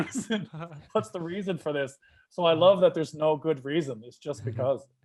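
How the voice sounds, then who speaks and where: With lively intonation and big swings in loudness, a man talks at a fairly quick pace in a fairly high pitch. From Canada, Newfoundland. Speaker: stand-up comedian. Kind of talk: casual podcast interview. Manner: upbeat, enthusiastic.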